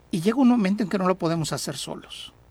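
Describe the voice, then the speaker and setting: A man talks with lively intonation. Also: very clean recording, silent background. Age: 60s. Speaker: civil engineer and former thanatology student. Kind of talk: radio interview testimony.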